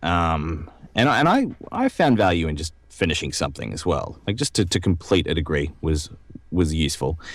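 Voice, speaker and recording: A man speaks in an Australian accent. His pitch is very deep and low, and his pace is moderate. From Australia (Brisbane). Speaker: voice actor. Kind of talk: podcast interview. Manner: hesitant, many fillers.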